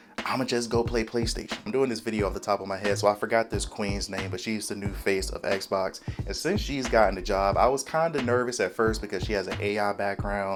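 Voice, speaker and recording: Music plays behind a man with a fairly low pitch and ordinary pitch variation. He talks at a fairly quick pace. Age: 30s. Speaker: gaming YouTuber. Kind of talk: casual commentary vlog. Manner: quiet, subdued volume.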